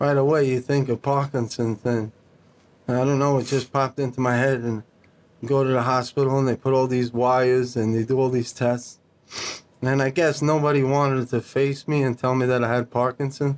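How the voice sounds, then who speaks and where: A man talks at a moderate pace in a monotone, flat intonation, his loudness very even throughout. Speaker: podcast guest. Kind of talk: interview answer. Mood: serious personal story. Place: studio. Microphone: studio mic.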